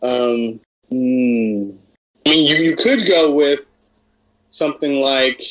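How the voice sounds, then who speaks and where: A man with an American accent speaks at a very slow pace, with long, frequent pauses. His pitch is fairly high, with ordinary pitch variation. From US Midwest, Cleveland Ohio. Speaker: pro wrestler. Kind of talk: interview.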